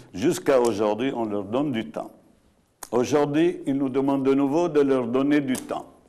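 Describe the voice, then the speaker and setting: A man's fairly high voice, fairly slow, with ordinary pitch variation and a dark, mellow tone. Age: 70s. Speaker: landowner and entrepreneur. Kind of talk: live TV debate. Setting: studio.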